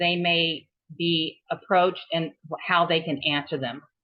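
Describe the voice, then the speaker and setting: Fairly slow and fairly low in pitch, a woman speaks in a plain, everyday voice with fairly even intonation. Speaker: trail volunteer organizer. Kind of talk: webinar presentation.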